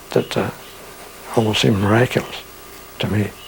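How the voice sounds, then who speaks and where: A man speaks at a fairly low pitch. Noticeable background noise runs under his voice. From Pennsylvania, near Elmira NY. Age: 80s+. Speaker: artist and widower of a psychic author. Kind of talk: interview, personal memories. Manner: halting, frequent fillers.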